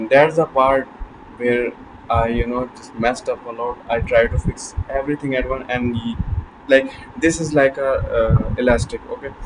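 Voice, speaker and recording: A man of medium pitch speaks at a moderate pace in a monotone, flat intonation. His loudness swings widely, and noticeable background noise is present. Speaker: self-improvement vlogger. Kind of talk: motivational talk to camera. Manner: halting, repeats words.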